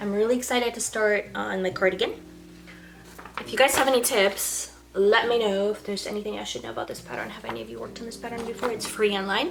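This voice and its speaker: Amid noticeable background noise, a woman speaks at a very fast pace in a medium pitch, her loudness swinging widely. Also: ordinary pitch variation. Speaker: knitting YouTuber. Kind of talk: casual vlog chat. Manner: casual, hesitant with many fillers.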